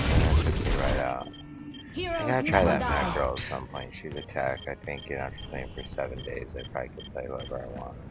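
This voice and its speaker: Soft-spoken, a man talks in a room with audible echo and noticeable background noise. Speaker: gamer streamer. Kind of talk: gameplay commentary. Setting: home at night, live stream. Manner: hesitant with fillers. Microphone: quiet on mic.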